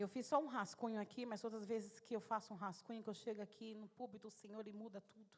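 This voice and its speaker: A woman at a very fast pace, fairly high in pitch, her intonation monotone and flat, her loudness swinging widely. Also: hardly any pauses. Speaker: lay preacher. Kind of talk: sermon. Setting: church.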